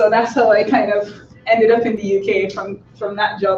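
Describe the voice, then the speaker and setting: A woman talks at a moderate tempo. Noticeable noise can be heard behind her. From Barbados. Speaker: lecturer. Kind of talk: seminar presentation.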